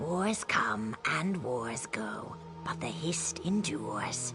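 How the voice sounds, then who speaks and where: A put-on character voice at a low-to-middle pitch and a very slow pace, with clear music in the background. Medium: machinima. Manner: measured, cryptic.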